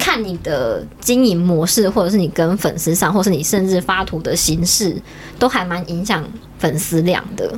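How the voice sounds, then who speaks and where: A woman talks at a moderate pace amid noticeable background noise. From Taiwan, Taichung. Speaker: illustrator and cosplayer. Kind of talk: casual chat.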